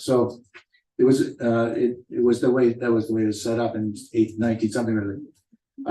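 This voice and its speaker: A man's dark, mellow voice at a fairly quick pace. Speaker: school board trustee. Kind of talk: board meeting discussion. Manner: soft-spoken.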